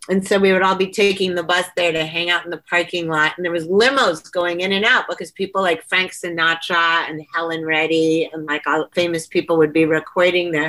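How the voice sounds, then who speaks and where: This woman's voice sits fairly low. She talks with hardly any pauses. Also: fairly quick pace. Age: 60s. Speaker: author and dance performer. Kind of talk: casual chat. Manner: animated.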